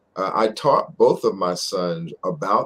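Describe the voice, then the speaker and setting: This is a man speaking. He has an American accent. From Philadelphia. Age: 60s. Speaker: doctor. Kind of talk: interview conversation. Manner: halting.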